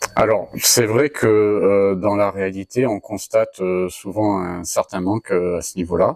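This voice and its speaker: A man talks at a fairly low pitch with ordinary pitch variation and hardly any pauses. The sound is dry and close with no echo. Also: fairly slow pace. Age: 40s. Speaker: cybersecurity trainer and consultant. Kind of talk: interview. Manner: halting, many filler hesitations.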